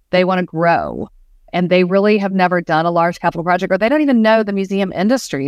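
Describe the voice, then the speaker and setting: Over a silent background in a very clean recording, a woman uses an ordinary speaking voice at medium pitch with ordinary pitch variation. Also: dry, close sound with no echo. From US South, Georgia. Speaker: museum planning consultant. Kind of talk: interview.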